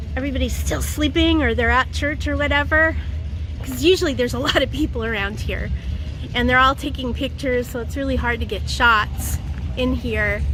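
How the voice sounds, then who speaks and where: A woman speaks with music in the background. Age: old. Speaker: voice actor. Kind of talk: casual talk to camera. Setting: outdoors. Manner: upbeat.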